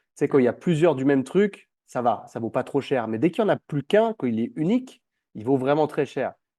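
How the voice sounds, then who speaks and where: Against a quiet background, the speaker has a dark, mellow tone. The pace is fairly quick and the intonation lively. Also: man, fairly high pitch for a man. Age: 20s. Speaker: personal trainer and entrepreneur. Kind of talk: interview, personal story. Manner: casual, hesitant with fillers.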